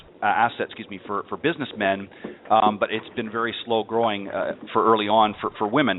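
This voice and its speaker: A man talks with a plain, everyday voice at a fairly low pitch. His pace is fairly quick and his intonation fairly even. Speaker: golf radio show host. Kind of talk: radio talk show hosting.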